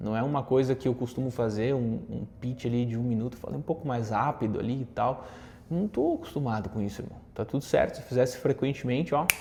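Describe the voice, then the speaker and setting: A man speaks at a fairly quick pace in a medium pitch, his tone dark and mellow, somewhat breathy, with ordinary pitch variation. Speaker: content creator and communication coach. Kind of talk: casual talk to camera with tips. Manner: conversational with fillers.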